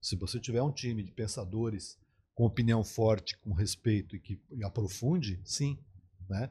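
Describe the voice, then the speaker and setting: A man's fairly low, dark, mellow voice, somewhat breathy, at a moderate pace with ordinary pitch variation, on a very clean recording with a silent background. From southern Brazil, Porto Alegre. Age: 60s. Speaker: advertising executive and media entrepreneur. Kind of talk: podcast interview.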